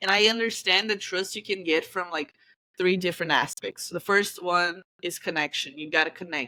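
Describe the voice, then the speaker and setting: A woman with a Brazilian Portuguese accent speaks in a bright, sharp tone with fairly even intonation. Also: medium pitch for a woman, moderate pace. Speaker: football coach. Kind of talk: interview. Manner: halting, searching for words.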